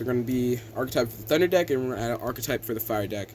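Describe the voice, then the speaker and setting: A man at a very fast pace against noticeable background noise. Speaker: game designer and YouTuber. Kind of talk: casual gameplay commentary.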